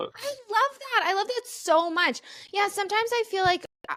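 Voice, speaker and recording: She speaks with a Midwestern accent. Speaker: comedian and podcast host. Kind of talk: casual chat.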